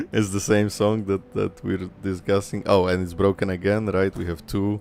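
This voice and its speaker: A man with a Polish accent speaks in a very deep, low pitch with monotone, flat intonation. He keeps a moderate pace over noticeable background noise. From Poland. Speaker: vtuber streamer. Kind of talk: live game stream reading dialogue aloud.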